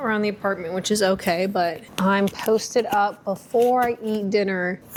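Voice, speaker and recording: Noticeable background noise accompanies a woman of medium pitch, who keeps fairly even intonation at a moderate pace. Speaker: booktuber. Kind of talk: casual vlog. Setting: at home.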